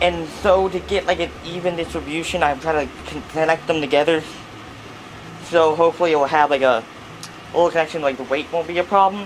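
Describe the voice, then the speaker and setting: A man speaks at a fairly quick pace in a fairly high pitch. His intonation stays fairly even, with noticeable background noise. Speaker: hobby builder vlogger. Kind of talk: narrated build commentary.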